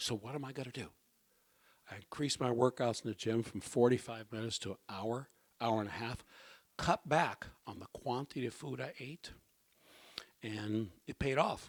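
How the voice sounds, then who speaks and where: Here a man talks at medium pitch with ordinary pitch variation and a moderate pace. Long, frequent pauses break up the dry, close sound, which has no echo. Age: 60s. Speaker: health talk speaker. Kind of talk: personal health testimony talk. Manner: conversational, frequent okay.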